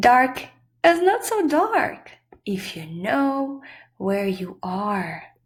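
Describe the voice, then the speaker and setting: A put-on character voice with a calm, warm tone moves at a very slow pace. Its pitch swings are very wide. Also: woman, fairly high pitch for a woman. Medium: read story.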